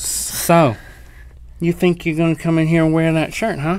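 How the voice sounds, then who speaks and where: In a put-on character voice, a man talks at a moderate pace with a high, nasal pitch and fairly even intonation, light background noise behind him. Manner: confrontational, mocking.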